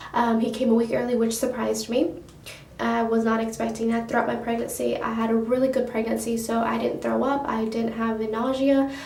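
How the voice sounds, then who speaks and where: A soft-spoken woman talks at a fairly quick pace with fairly high pitch and monotone, flat intonation. Noticeable background noise and audible room echo are present. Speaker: beauty vlogger. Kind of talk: casual storytelling vlog. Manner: rambling, hesitant.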